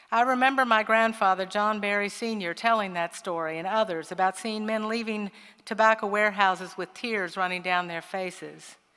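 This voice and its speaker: With an American accent, a woman speaks at medium pitch and a moderate pace, her tone bright and sharp and her intonation fairly even. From Kentucky, Henry County. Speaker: farmer and nonprofit director. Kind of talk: keynote speech.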